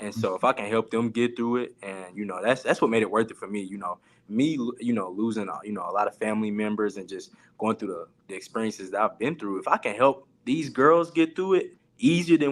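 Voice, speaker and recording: A man with an unremarkable speaking voice talks at a fairly quick pace and medium pitch, with lively intonation and big swings in loudness. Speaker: college sports coach. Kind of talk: panel talk show discussion.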